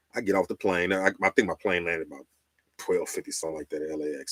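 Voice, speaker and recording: In a very clean recording with a silent background, a man speaks in a very deep, low pitch with an animated tone. The sound is dry and close, with no echo. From Chicago, West Side. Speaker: radio host and storyteller. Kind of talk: live stream storytelling. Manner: casual, animated.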